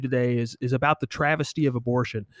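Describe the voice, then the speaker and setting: A man talks at a fairly quick pace in a plain, everyday voice with fairly even intonation. The recording is very clean, dry and close, with no echo and a silent background. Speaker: podcast co-host. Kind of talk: interview conversation on abortion and theology.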